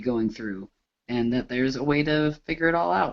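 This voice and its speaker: At a moderate pace, a man speaks with medium pitch in an unremarkable speaking voice. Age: 20s. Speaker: panelist, advocate. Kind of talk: panel discussion.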